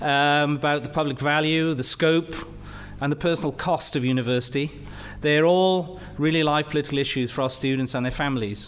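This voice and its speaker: Over noticeable background noise, a man speaks at a fairly quick pace in a fairly high pitch with fairly even intonation. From Wales, Rhondda Valley. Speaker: university leader and physicist. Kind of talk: lecture.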